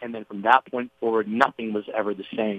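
At a fairly quick pace, a man of medium pitch speaks in a plain, everyday voice. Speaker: TV host and podcaster. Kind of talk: interview storytelling.

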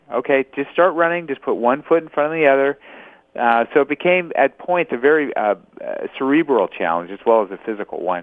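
A man with an American accent speaks in an unremarkable speaking voice, fairly high in pitch, with big swings in loudness. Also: lively intonation, fairly quick pace. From Los Angeles, California. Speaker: ultramarathon runner and author. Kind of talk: interview.

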